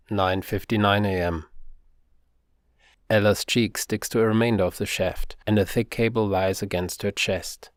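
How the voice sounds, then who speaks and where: A man speaks at a moderate pace in a fairly low pitch, his intonation flat and monotone. Long, frequent pauses break up his speech on a very clean recording with a silent background. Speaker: author reading his own novel. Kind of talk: audiobook narration.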